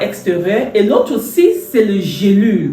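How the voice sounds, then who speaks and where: A woman speaks at a medium pitch and a fairly slow pace. Audible room echo and noticeable background noise surround her voice. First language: English (speaking French). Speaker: entrepreneur and health product seller. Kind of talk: product presentation. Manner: halting, many hesitations.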